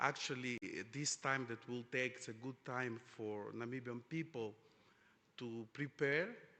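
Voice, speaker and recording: Speaking at a fairly slow pace, a man has a bright, sharp tone and fairly even intonation. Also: medium pitch for a man. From Angola. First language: Portuguese. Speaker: oil industry executive, panelist. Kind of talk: conference panel discussion. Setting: conference stage with audience. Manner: halting, many fillers.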